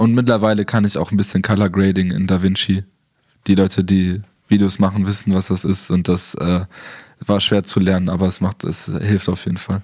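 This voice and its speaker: A man with a very deep, low pitch speaks at a moderate pace in a monotone, flat intonation. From southern Germany. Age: 20s. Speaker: photographer and videographer. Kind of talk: interview.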